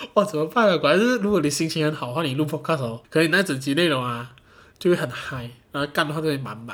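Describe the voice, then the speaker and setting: A man speaks at a very fast pace in a Malaysian accent. His pitch is fairly high and his intonation lively. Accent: Malaysian Mandarin. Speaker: podcast host. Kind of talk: casual solo chat. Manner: animated.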